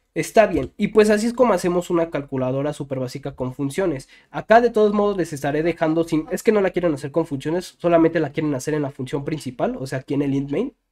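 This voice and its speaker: Speaking at a very fast pace, a man delivers his words with lively intonation. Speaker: programming YouTuber. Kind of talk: tutorial. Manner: halting, many fillers.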